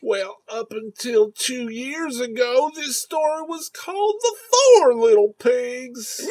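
Speaking in a put-on character voice, the speaker goes very slowly at a fairly high pitch, with hardly any pauses. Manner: slow, gluttonous, easily swayed.

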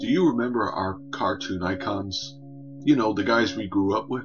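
Music plays in the background. Over it, a man talks with very wide pitch swings. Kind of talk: biography narration.

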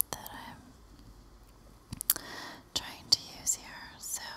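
Whispering is what the woman does throughout. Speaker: ASMR creator. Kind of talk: ASMR soft-spoken talk to camera with mic test. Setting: home recording, window open with leaf and wind noise in the background. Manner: soft-spoken, whispery. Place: home room. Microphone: studio mic.

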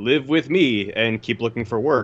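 This man speaks with a Californian accent. His pitch is medium, with ordinary variation. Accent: General American, Californian. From US West Coast (Los Angeles). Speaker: video editor. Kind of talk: casual interview.

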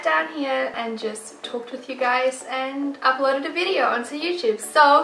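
A woman uses a raised, projected voice at a moderate pace. Audible room echo and light background noise are present. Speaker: home decor vlogger. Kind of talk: casual vlog chat. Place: home room.

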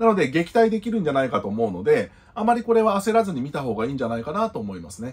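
A man talks at a very fast pace in a fairly high, somewhat breathy voice with very wide pitch swings. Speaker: YouTube news commentator. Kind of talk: solo commentary. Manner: polite, formal sign-offs. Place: home room.

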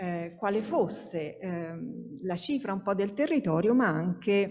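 Woman speaking at a very slow pace in a dark, mellow tone, over a quiet background. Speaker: sociologist, academic speaker; speaker. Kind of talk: conference talk. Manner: hesitant, many fillers. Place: hall. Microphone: podium.

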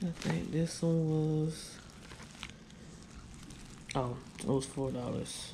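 A woman talks slowly at a low pitch. Her tone is dark and mellow, with vocal fry. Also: ordinary pitch variation.

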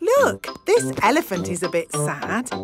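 With faint music behind her, a woman does a cartoonish character voice at medium pitch with a slightly husky edge, very wide pitch swings and a fairly slow pace.

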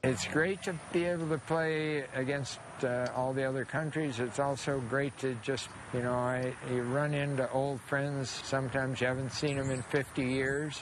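Speaking at a moderate pace with fairly even intonation and very even loudness, a man's medium-pitched voice comes through a dry sound with no echo, amid noticeable background noise. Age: 80s+. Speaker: tennis player and coach. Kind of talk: interview answer. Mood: warm, proud, smiling. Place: open country. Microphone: lapel.

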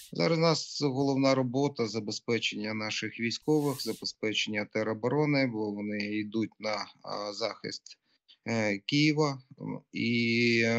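Over a quiet background, a man speaks at a fairly slow pace with ordinary pitch variation. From Ukraine, Zhytomyr. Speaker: city mayor. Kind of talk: live remote interview. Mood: grave, serious. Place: home room. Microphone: video call.

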